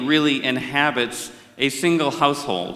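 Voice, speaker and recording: Over noticeable background noise, a man with an American accent talks at a moderate pace in a fairly high pitch. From India. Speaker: conference moderator. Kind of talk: formal opening remarks. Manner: formal.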